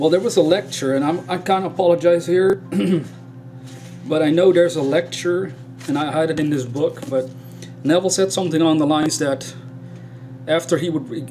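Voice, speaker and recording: Over music in the background, a man speaks at a fairly quick pace with long, frequent pauses. His voice is fairly high, with ordinary pitch variation. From Netherlands. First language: Dutch. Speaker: spiritual YouTuber. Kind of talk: casual video talk. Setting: indoors in a room.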